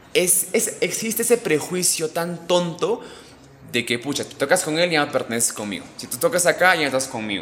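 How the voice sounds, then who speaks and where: Amid noticeable background noise, a man speaks at a moderate pace and high pitch, with very wide pitch swings and big swings in loudness. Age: 20s. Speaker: musician. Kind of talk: casual chat.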